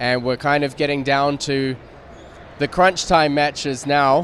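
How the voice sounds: A man speaks with a fairly bright tone at a medium pitch. His pace is moderate.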